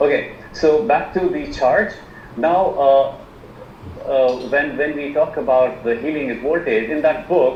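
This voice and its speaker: A man with an Indian accent in a fairly high voice, at a fairly slow pace with ordinary pitch variation, amid noticeable background noise and audible room echo. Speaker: alternative medicine practitioner. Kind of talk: online presentation. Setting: video call. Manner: halting, many fillers.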